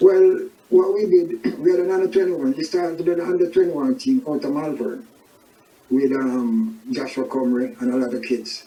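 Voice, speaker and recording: Against noticeable background noise, a man with a high pitch talks at a moderate pace, his pitch swinging very widely. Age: 70s. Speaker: soccer club manager. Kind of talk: interview.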